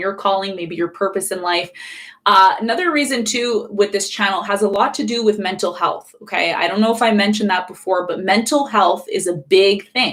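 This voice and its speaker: A woman with a Canadian accent at a fairly quick clip, medium pitch, ordinary pitch variation, and noticeable background noise. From Canada. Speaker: astrologer. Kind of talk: live stream astrology talk. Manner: fast; animated.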